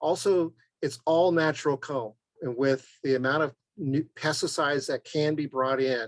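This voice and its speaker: A man with a plain, everyday voice speaks at a moderate pace with a fairly high pitch and fairly even intonation. The sound is dry and close with no echo. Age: 60s. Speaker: beekeeper, guest speaker. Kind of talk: Q&A at online club meeting.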